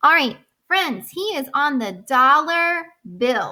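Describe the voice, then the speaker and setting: A woman's raised, projected voice at a very slow pace. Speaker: kindergarten teacher. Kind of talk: online lesson tutorial for young children.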